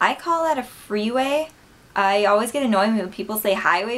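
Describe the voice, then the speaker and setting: Her intonation lively, a woman talks at a moderate speed. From Wisconsin, USA. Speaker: vlogger. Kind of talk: casual talk to camera. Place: home room. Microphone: webcam.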